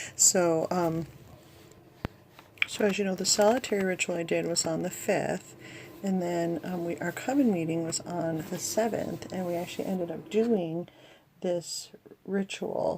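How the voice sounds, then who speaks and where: Speaking at a fairly slow pace, a woman leaves long, frequent pauses and uses ordinary pitch variation at a fairly low pitch. There is noticeable background noise. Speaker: vlogger, practicing witch. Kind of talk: casual vlog talk. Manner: hesitant, many fillers.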